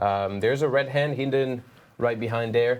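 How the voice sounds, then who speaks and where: A man with a French accent speaks at a medium pitch with fairly even intonation. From France. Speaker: watch brand training manager. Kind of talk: product demonstration. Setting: studio.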